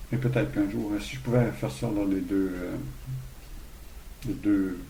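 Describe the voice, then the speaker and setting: Lively intonation and a dark, mellow, somewhat breathy tone come at a moderate pace, with audible room echo. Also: man, fairly low pitch for a man. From Quebec, Saguenay–Lac-Saint-Jean. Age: 60s. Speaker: hostel owner. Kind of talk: interview. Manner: halting, many repetitions.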